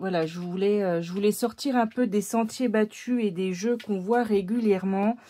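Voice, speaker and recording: A woman's dark, mellow tone at a fairly slow pace, with ordinary pitch variation. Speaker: tarot and oracle card reader, video creator. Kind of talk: casual vlog chat. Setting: at home, camera on tripod. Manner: hesitant, many fillers.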